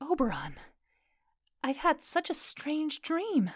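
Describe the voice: Putting on a character voice, a woman talks slowly at a high pitch with big pitch swings. The recording is very clean, with a silent background.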